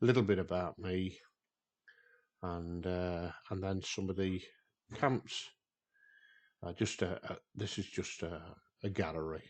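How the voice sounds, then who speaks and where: A man with a British accent speaks in a very deep, low pitch. He goes at a fairly slow pace, with long, frequent pauses. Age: 60s. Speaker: outdoors vlogger. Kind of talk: casual vlog walkthrough. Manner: hesitant, many fillers.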